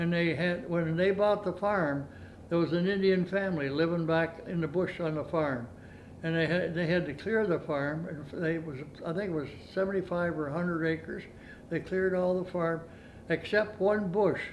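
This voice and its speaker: Heard with audible room echo, a man with a rural Canadian accent talks at a moderate pace in a high pitch with fairly even intonation. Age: 90s. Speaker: retired farmer. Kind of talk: oral history interview. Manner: halting.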